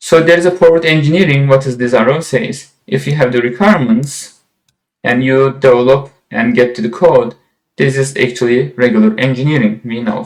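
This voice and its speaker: With an unremarkable speaking voice, a man talks at a fairly quick pace with ordinary pitch variation. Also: medium pitch for a man. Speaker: software instructor. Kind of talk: lecture.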